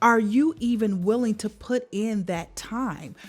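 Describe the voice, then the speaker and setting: Background music can be heard. The talking proceeds fairly slowly. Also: woman. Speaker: vocal coach and life coach. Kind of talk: motivational talk. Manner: earnest, encouraging.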